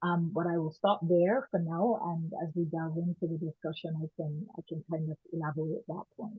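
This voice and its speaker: Speaking in a strong Barbadian accent, a woman keeps a moderate pace. Her fairly low voice shows ordinary pitch variation. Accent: strong Barbadian (Bajan). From Barbados and Canada. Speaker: women's rights activist. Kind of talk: panel discussion.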